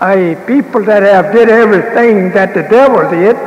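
Audible room echo and light background noise surround a man with a high pitch. He talks at a moderate pace with ordinary pitch variation. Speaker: religious leader lecturing. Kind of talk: sermon. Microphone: old recording.

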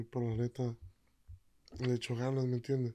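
In a monotone, flat delivery, a man speaks at medium pitch with a dark, mellow tone. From Jalisco, Mexico (Tomatlán). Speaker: corrido singer-songwriter. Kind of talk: casual interview chat. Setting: studio.

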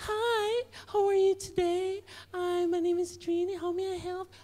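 A female-sounding voice does a put-on character voice, soft-spoken and squeaky. The pitch is extremely high for a woman. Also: moderate pace. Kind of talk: stand-up comedy routine. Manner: sweet, cheerful.

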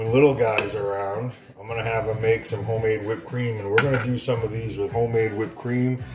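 Clear music plays behind a man's voice. He speaks at a fairly quick pace with fairly even intonation. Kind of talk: casual tutorial. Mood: jokey, playful. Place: kitchen. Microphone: phone near.

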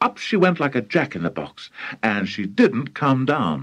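A man's voice with vocal fry and very wide pitch swings, over a quiet background. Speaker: audiobook narrator. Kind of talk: audiobook reading of a children's story. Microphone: old recording.

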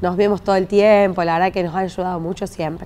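A woman speaks in a dark, mellow tone with monotone, flat intonation. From Argentina, Pergamino; Argentina. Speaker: city councillor. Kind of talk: interview. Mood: warm, grateful. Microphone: lapel.

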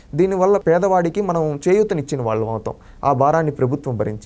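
The man's dark, mellow tone moves through very wide pitch swings. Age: 20s. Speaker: member of the public giving political opinion. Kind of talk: street interview opinion. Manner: animated, impassioned.

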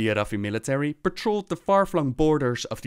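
An upbeat man with a fairly high pitch, very wide pitch swings and a fairly quick pace, recorded very cleanly against a silent background in a dry, close sound with no echo. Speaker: gaming lore youtuber. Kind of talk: scripted lore narration. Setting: video voiceover. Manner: measured, storyteller-like narration; friendly, upbeat sign-off.

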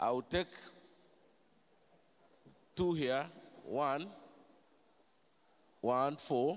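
A man speaks at a very slow pace in a medium pitch, his tone clear and smooth.

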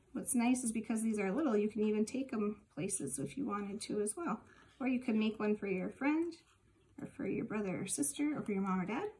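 This woman talks at a fairly quick pace with lively intonation. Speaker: library staff craft host. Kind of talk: tutorial. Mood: warm, friendly, encouraging. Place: kitchen. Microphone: phone near.

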